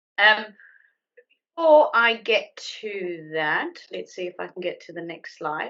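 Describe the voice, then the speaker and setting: With a South African accent, a woman at medium pitch speaks at a fairly slow pace, using very wide pitch swings and long, frequent pauses. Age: 30s. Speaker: IT account manager. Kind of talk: presentation.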